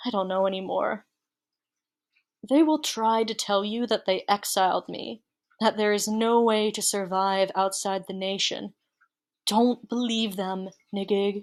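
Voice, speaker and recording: A woman at a medium pitch with fairly even intonation, a fairly slow pace and long, frequent pauses, on a very clean recording with a silent background. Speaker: audiobook reader. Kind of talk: reading aloud. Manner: halting.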